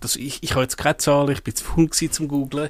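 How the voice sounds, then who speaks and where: This is a man speaking. He has a Swiss accent. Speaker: tech podcast co-host. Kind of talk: casual chat. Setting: studio.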